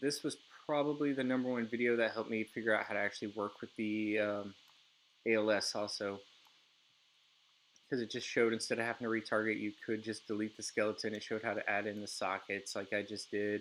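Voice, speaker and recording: A man's medium-pitched voice, monotone and flat, at a very fast pace. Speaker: game developer streaming a tutorial. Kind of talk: live screen-share tutorial. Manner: hesitant, with frequent fillers.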